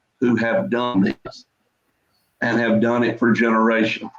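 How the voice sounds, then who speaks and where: In a Deep South accent, a man speaks at a fairly slow pace. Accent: Southern US (Deep South). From US South, Mississippi (Jones County). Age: 50s. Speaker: livestock breeder, farmer. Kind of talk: casual chat.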